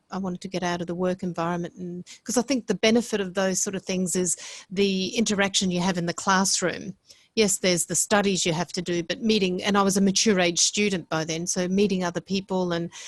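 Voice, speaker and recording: Speaking at a fairly quick pace with an Australian accent, a woman keeps a medium pitch and a monotone, flat delivery. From Australia (Brisbane), Italian household. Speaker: hotel executive. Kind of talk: podcast interview. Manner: halting, many repetitions.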